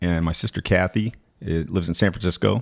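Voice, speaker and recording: Speaking at a fairly quick pace with ordinary pitch variation, a man with a very deep, low voice and an American accent is heard on a very clean, dry, close recording with no echo and a silent background. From Arizona (Flagstaff). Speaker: musician. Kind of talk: casual chat.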